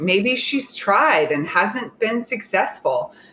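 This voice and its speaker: A woman speaks at a fairly high pitch. It is a plain, everyday voice. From Oklahoma. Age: 30s. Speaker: dating coach. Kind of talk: casual chat.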